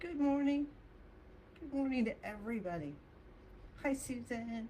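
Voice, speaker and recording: Noticeable background noise sits behind a woman with a high pitch. She talks at a very slow pace, her pitch swinging very widely. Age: 60s. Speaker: qigong instructor. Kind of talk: guided exercise class.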